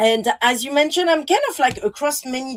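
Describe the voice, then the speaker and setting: A fairly quick delivery in a strong French accent. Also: woman. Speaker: designer and artist. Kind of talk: panel presentation. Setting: virtual presentation, video call.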